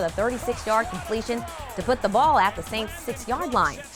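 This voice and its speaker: Music plays in the background. A woman with a fairly high voice speaks at a moderate pace. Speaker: sportscaster. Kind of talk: TV sports newscast.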